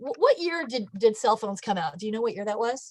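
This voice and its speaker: With lively intonation, a woman talks in a high pitch. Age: 60s. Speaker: science teacher. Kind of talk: live online lesson. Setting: video call.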